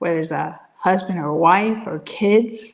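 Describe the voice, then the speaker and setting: This is a woman with a Spanish accent. Her pitch varies in an ordinary way. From Puerto Rico. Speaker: business coach and Air Force veteran. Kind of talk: interview. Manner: halting, many repetitions and restarts.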